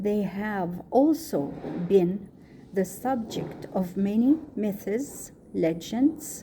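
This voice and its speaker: A woman with an Egyptian accent speaks at a very slow pace, somewhat breathy, with a dark, mellow tone. Her pitch is medium and her intonation is lively. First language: Arabic. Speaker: student. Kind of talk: reading aloud.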